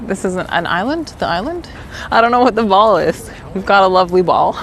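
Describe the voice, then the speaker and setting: Noticeable background noise under a fairly quick delivery. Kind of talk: casual vlog chat. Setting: outdoors.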